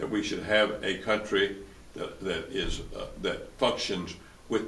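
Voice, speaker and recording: A man speaks at a fairly slow pace with a Tennessee accent, and audible room echo surrounds his voice. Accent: US Southern (Tennessee). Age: 80s+. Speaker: lawyer and former publisher. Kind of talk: interview. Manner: halting, many repetitions.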